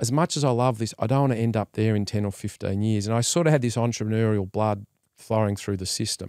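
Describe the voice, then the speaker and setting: A man with an Australian accent at a medium pitch and fairly quick pace, in a very clean recording with a silent background and a dry, close sound with no echo. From Australia, Melbourne. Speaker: entrepreneur and investor. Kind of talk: interview.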